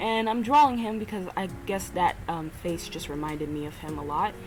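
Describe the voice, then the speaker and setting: A woman's voice rises and falls in very wide pitch swings. Noticeable background noise is present. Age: 20s. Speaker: amateur artist and podcaster. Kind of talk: casual monologue while drawing. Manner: halting, many fillers. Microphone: built-in computer microphone, poor quality.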